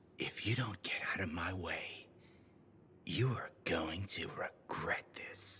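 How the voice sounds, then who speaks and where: Whispering in a put-on character voice, a man speaks. His pace is fairly slow. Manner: threatening, warning.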